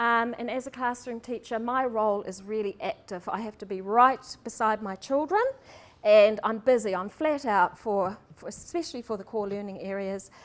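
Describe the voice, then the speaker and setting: In a New Zealand accent, a woman speaks at a moderate pace with a fairly high pitch, ordinary pitch variation and big swings in loudness. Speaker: primary school teacher. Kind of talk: seminar presentation. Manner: hesitant, many ums.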